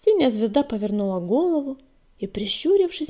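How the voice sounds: This is a natural reading voice. It is used throughout the clip.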